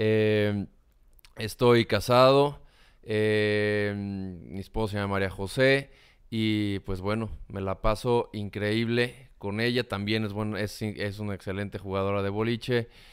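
Speaking very slowly in a Mexican accent, a man keeps a fairly low pitch and fairly even intonation. The background is quiet. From Mexico. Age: 30s. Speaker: communication consultant and content creator; content creator. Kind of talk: interview. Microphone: studio mic.

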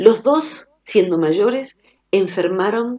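In a quiet background, a woman speaks at a fairly slow pace with very wide pitch swings. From Argentina. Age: 50s. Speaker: psychologist; radio guest. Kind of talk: radio interview. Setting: phone call. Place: studio.

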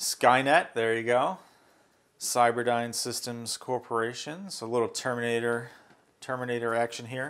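The pace here is fairly slow. It belongs to a man. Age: 40s. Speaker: tech youtuber; product reviewer. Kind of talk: unboxing video. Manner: casual, with fillers.

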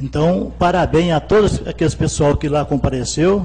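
At a moderate pace, a man speaks with a Minas Gerais accent. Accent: Minas Gerais Brazilian Portuguese. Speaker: city councillor. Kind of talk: council debate speech. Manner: colloquial, halting. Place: hall. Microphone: podium.

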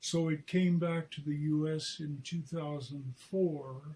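This man talks at a very slow pace in a dark, mellow tone. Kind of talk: interview answer. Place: home room. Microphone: video call.

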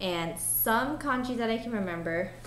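A woman's fairly high, playful voice with an American accent and ordinary pitch variation, over noticeable background noise. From Japanese American. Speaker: handywoman. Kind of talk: casual talk to camera. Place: home room. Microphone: webcam.

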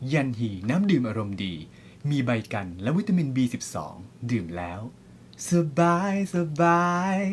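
Somewhat breathy, a man's medium-pitched voice moves through very wide pitch swings. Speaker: commercial voice-over artist. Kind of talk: TV commercial read.

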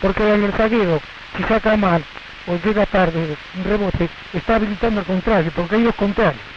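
Speaking at a very fast pace, a man uses a high pitch with ordinary pitch variation, in a dry sound with no echo and noticeable background noise. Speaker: football coach or official. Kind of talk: interview answer. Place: stadium. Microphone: handheld.

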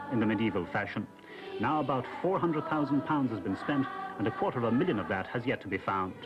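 Music in the background behind a man's fairly high-pitched voice. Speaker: news reporter. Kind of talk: TV news report.

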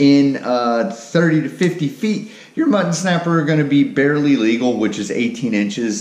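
Room echo is audible as a man speaks at a fairly slow pace with lively intonation. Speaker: fishing channel host. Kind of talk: tutorial. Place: garage. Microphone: camera far.

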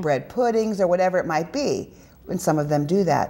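Lively in intonation, a woman speaks at a fairly quick pace. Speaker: guest. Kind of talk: interview answer. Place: studio. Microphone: lapel.

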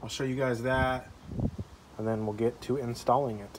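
Speech at a moderate pace comes through light background noise. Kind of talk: tutorial. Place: street. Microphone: phone near.

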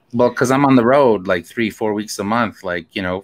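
A man speaks with ordinary pitch variation. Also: quiet background. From Manitoba, Canada (Cree First Nation). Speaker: guest. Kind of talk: interview. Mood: earnest, passionate. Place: home room. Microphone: studio mic.

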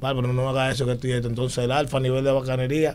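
A man speaks with a Dominican accent over light background noise. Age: 30s. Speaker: musician; talk show guest. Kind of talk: casual chat. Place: studio. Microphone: studio mic.

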